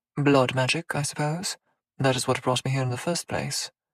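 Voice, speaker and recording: A man's put-on character voice, hissing, medium in pitch and moderate in pace, with a dry, close sound and no echo. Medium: read story. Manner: unfazed, sneering, formal.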